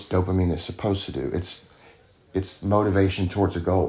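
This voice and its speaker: Here a man with a Southern US accent talks at a fairly quick pace, his very deep, low pitch carrying a dark, mellow tone. His voice is somewhat breathy and his intonation fairly even. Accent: Southern American. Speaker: recovering addict. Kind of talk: interview testimony.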